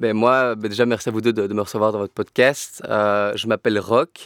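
In a dry, close sound with no echo, a man speaks at a moderate pace with monotone, flat intonation. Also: very clean recording, silent background. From Brussels, Belgium. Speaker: videographer and entrepreneur. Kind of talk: interview. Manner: halting, many fillers.

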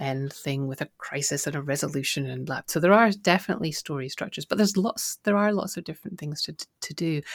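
A woman with a Scottish accent, a very deep, low pitch and lively intonation, at a fairly quick pace, on a very clean recording with a silent background. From Scotland. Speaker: author and podcaster. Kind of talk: casual interview chat.

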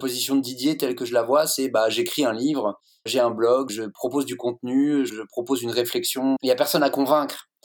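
An unremarkable speaking voice belongs to a man at a medium pitch. He talks at a fairly quick pace with fairly even intonation. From France, Lorraine-Alsace. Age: 40s. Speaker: guest from men's groups. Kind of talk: group discussion.

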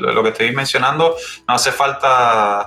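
Music plays in the background as a man talks. His pitch is fairly high, with ordinary variation. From Cuba. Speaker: industrial engineer and IT specialist. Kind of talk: interview conversation. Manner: halting, many repeated words.

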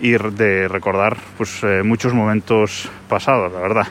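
Moderately paced speech from a man over noticeable background noise. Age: 30s. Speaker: podcaster. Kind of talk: casual monologue.

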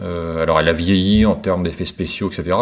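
Very deep, low male speech with ordinary pitch movement, at a moderate pace. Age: 50s. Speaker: listener contributor sharing a personal testimony. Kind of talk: recorded monologue testimony. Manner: halting, many hesitations.

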